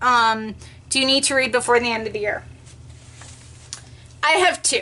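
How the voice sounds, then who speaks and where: A woman speaks in a raised, projected voice with a bright, sharp tone. Her pitch varies in an ordinary way. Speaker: book vlogger. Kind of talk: casual vlog monologue. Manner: hesitant with many ums.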